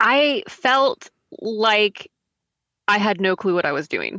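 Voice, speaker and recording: This voice has a bright, sharp tone and lively intonation, with an American accent. The sound is dry and close, with no echo. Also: woman. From Texas. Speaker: tutoring business founder and teacher. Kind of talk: interview.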